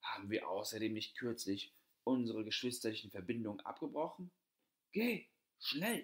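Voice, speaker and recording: Pausing long and often, a man talks at a moderate pace in a calm, sad tone. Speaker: audiobook narrator. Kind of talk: fairy tale storytelling, reading aloud. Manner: calm, measured storyteller's narration, with soft, sorrowful tone in sad passages.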